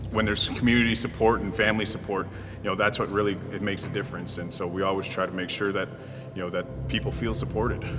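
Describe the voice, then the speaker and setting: A man with a Canadian accent and a fairly low pitch speaks very fast. Noticeable background noise and audible room echo fill the recording. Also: ordinary pitch variation. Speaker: pro lacrosse player. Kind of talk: interview.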